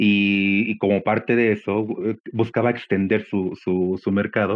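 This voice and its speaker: The delivery is monotone, with flat intonation. The pace is fairly slow. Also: man, fairly low pitch for a man. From Mexico. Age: 40s. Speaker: podcast guest. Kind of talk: interview conversation. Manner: halting, many fillers.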